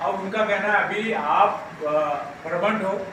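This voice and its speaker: Over noticeable background noise and audible room echo, a man speaks in a raised, projected voice. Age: 80s+. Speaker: trade union leader. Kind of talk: speech at union annual meeting. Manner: halting, many fillers and restarts.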